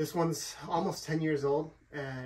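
At a moderate pace, a man talks in a monotone with flat intonation. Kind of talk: tutorial. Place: garage. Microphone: camera far.

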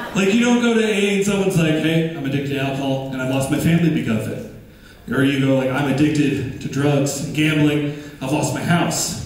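With strong room echo and light background noise, a man with an American accent speaks at a fairly high pitch and fairly quick pace, with ordinary pitch variation and hardly any pauses. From Michigan. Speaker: stand-up comedian. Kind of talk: stand-up. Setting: stage with audience. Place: stage.

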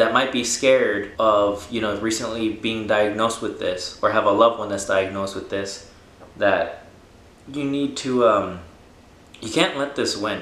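This man's voice carries an audible echo from the room. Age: 20s. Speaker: cancer patient. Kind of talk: casual talk to camera. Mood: earnest, calm, hopeful. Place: home room.

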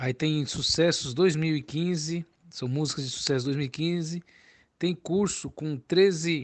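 A man's fairly high-pitched, a normal speaking voice with fairly even intonation. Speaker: music teacher selling cavaquinho and banjo courses. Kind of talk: sales pitch. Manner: casual, chatty, repeats filler tags like "né" and "entendeu".

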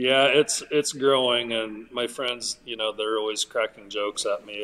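Moderate-paced speech from a man. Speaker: podcast guest. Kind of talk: interview answer. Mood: friendly, laughing at times. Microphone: video call.

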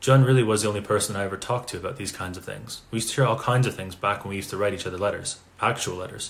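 The speaker reads in an unforced reading voice, and the pitch shows ordinary variation.

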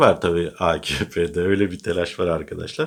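A man speaks at a moderate pace with a very deep, low pitch. The recording is very clean, with a silent background. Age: 40s. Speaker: political commentator. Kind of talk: casual political commentary monologue. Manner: animated.

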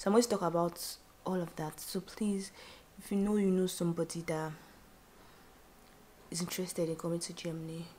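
Over light background noise, a woman speaks in monotone, flat intonation with a fairly low pitch and a dark, mellow tone. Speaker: vlogger. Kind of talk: casual vlog chat. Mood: relaxed, grateful. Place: home room. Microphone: phone near.

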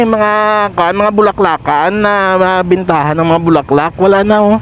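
A high-pitched man at a moderate pace over noticeable background noise. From Pototan, Iloilo, Philippines. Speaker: local motovlogger. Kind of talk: vlog narration while riding. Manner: frequent laughing, casual.

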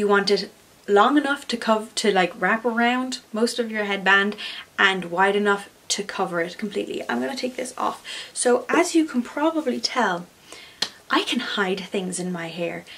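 With an Irish accent, a woman speaks at a moderate pace and a fairly high pitch, her intonation lively. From Ireland. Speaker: craft YouTuber. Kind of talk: tutorial. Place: home room.

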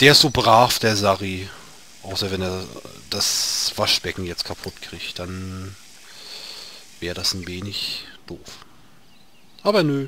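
Over noticeable background noise, a man with a very deep, low pitch speaks at a very slow pace, with ordinary pitch variation, big swings in loudness and long, frequent pauses. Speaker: gaming video creator. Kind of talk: let's play commentary. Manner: halting, repeats words.

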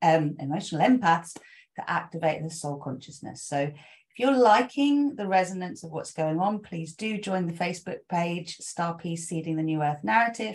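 Her voice is somewhat breathy. This woman talks at a moderate tempo. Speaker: spiritual coach. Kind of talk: spiritual talk to followers. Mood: warm, gentle, enthusiastic. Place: home room. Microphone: webcam.

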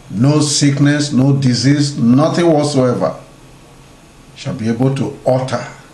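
A man speaks at a fairly slow pace with audible room echo. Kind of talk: prayer and blessing message. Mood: solemn, warm, prayerful. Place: home room. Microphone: webcam.

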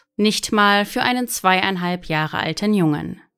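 Delivered at a very slow pace in a serious tone with ordinary pitch variation, the speech comes from a very clean recording with a silent background. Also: woman. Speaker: true-crime narrator. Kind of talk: true-crime narration, scripted-sounding case report. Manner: measured, serious storytelling pace; sombre, suspenseful, factual tone.

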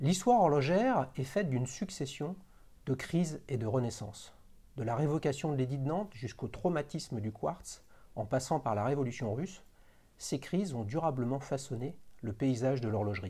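Speaking at a moderate pace, a man has a dark, mellow tone that is somewhat breathy, with lively intonation. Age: 50s. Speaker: watch channel host; show host. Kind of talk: casual interview; scripted narration. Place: home room. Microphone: lapel.

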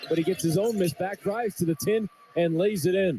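A man at a moderate pace with ordinary pitch variation, dry and close with no echo, plus noticeable background noise. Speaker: radio play-by-play announcer. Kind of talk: live commentary. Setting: radio broadcast of a basketball game.

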